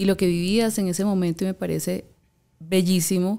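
Her tone dark and mellow, a woman speaks at a moderate pace. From Colombia, Valledupar. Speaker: podcast host. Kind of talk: interview conversation. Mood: warm, engaged. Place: studio. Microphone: studio mic.

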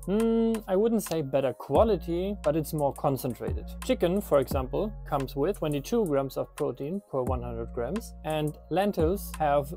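A man talks at a fairly slow pace in a dry sound with no echo. Faint music plays in the background. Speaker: nutrition creator. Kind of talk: explainer skit answering a doubter. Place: garden. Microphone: lapel.

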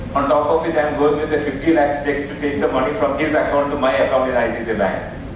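The speech moves at a fairly quick pace with hardly any pauses. Strong room echo and noticeable background noise fill the recording. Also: man, fairly high pitch for a man. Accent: Indian. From India. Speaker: session chairman and moderator. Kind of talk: conference session chairing. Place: hall.

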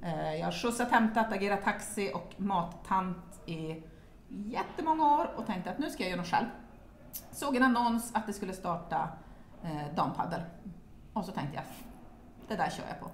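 A woman speaks at a moderate pace with long, frequent pauses. Light background noise and audible room echo are present. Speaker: padel club chair; interviewee. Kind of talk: casual interview. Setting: locker room. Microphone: camera far.

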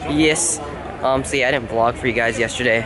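Over noticeable background noise, the voice shows ordinary pitch variation in a dry sound with no echo. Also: man. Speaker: vlogger. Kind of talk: casual vlog chat. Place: street. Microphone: phone near.

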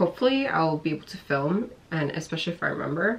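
Over light background noise, a woman with a fairly low pitch speaks at a fairly quick pace. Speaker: vlogger. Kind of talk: casual vlog chat. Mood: candid, a bit frustrated. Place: home room. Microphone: camera far.

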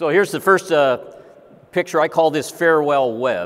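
A man's voice at a fairly quick pace with ordinary pitch variation. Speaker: speaker. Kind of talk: lecture. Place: stage.

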